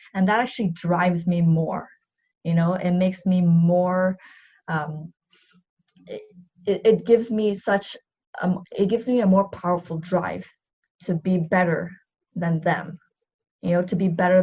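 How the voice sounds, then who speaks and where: A woman with a dark, mellow tone speaks at a moderate pace and a fairly low pitch, somewhat breathy, with fairly even intonation and long, frequent pauses. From Vancouver, Canada. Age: 30s. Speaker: athlete and navy reservist. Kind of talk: interview.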